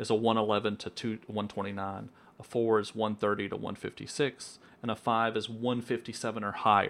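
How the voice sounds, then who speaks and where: A man with an American accent talks at a fairly quick pace in a monotone, flat intonation. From US South, southwestern Virginia. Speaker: weather enthusiast. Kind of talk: casual chat.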